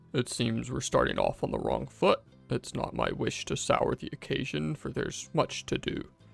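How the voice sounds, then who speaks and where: Using a raspy, put-on character voice, a man talks at a moderate pace while faint music plays in the background. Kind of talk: formal.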